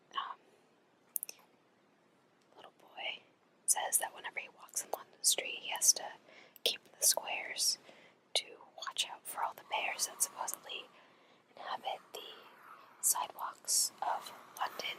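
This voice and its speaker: A woman's whispering at a fairly slow pace, broken by long, frequent pauses and big swings in loudness. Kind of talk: ASMR whispered poetry reading. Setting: home recording with headphone microphone. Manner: whispered, soft-spoken.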